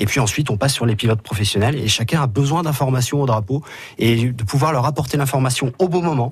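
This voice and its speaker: The voice is somewhat breathy. The pace is very fast. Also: man, medium pitch for a man, ordinary pitch variation. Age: 30s. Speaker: motorsport track marshal. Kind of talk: radio interview. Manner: hesitant, with fillers and repetitions.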